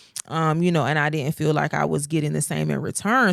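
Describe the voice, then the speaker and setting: A woman speaks in an animated tone at a very deep, low pitch. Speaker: podcast co-host. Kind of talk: casual chat. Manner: loud.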